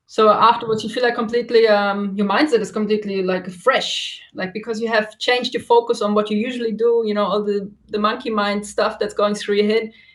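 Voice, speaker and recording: Fairly high-pitched and monotone, a woman talks at a fairly quick pace with hardly any pauses. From Germany. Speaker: yoga instructor and massage therapist. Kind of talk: interview.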